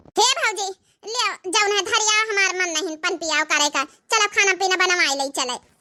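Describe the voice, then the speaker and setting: At a moderate pace, someone performs a cartoonish character voice. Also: woman, extremely high pitch for a woman, ordinary pitch variation. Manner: plaintive, earnest.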